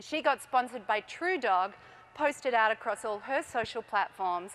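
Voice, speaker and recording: A woman with an Australian accent, fairly high in pitch, with lively intonation and a moderate pace. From Australia, Melbourne. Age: 40s. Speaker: entrepreneur. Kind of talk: conference talk. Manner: animated.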